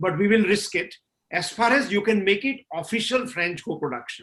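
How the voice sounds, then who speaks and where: At a fairly quick pace, a man with a Gujarati accent talks in a bright, sharp tone with ordinary pitch variation. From India, Gujarat (Kathiawad). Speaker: film director and producer. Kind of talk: panel discussion. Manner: frequent fillers (uh, you know).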